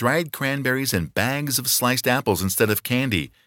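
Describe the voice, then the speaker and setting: A man speaks at a moderate pace in a bright, sharp tone with vocal fry. The sound is dry and close with no echo, a very clean recording with a silent background. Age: 50s. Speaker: podcast co-host. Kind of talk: reading aloud.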